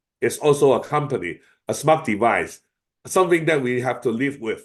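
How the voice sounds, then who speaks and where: A man with a Chinese accent speaks at a moderate pace. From China. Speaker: AI expert speaker. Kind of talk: webinar Q&A. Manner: hesitant, many fillers.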